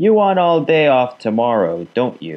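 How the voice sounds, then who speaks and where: Using a put-on character voice, a man speaks gruffly at a moderate pace and medium pitch, with very wide pitch swings. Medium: read story. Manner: gruff, sarcastic.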